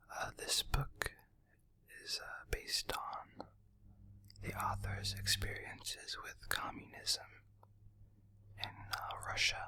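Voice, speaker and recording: A man's whisper moves along very slowly. Long pauses come often between his words. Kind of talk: casual talk to camera. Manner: whispered.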